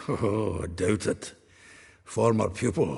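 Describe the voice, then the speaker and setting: A man speaks in a put-on character voice, raspy and fairly low in pitch, at a fairly slow pace. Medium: video game. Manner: chatty, laughing.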